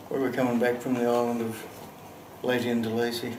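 This man talks at a fairly quick pace and a medium pitch. There is noticeable background noise. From Australia. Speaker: actor. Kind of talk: dramatic monologue, film scene demo. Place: studio.

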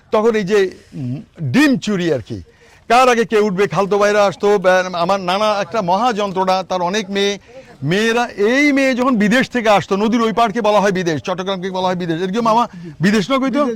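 His pitch variation stays ordinary. This man's voice is high-pitched. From Bangladesh, Noakhali (Hatiya island). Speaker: YouTuber. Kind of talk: travel vlog. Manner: animated.

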